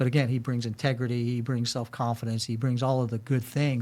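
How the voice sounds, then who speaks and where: At a fairly quick pace, a man with an American accent speaks at a medium pitch in a very clean recording with a silent background. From New York, Brooklyn. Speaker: corporate security leader and military veteran. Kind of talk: podcast interview. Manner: animated.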